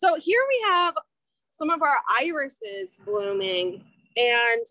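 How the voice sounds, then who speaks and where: The voice is raised and projected, with a bright, sharp tone and very wide pitch swings. The sound is dry with no echo, over a quiet background. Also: woman. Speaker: nature center guide. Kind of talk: outdoor guided plant walk. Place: garden.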